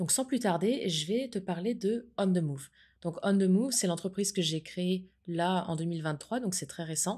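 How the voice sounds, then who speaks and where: In a very clean recording with a silent background, a woman speaks at a medium pitch and moderate pace with a somewhat breathy voice. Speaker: podcaster and entrepreneur. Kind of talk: casual podcast monologue.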